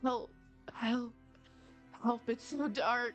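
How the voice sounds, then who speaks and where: A female-sounding voice performs a put-on character at a high pitch. Clear music plays in the background. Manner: pleading, frightened.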